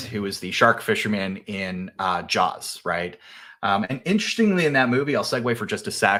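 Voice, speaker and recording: In a very clean recording with a silent background, a man speaks at a moderate pace in a bright, sharp tone with ordinary pitch variation. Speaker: cybersecurity company executive. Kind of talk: business presentation. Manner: casual, with many fillers.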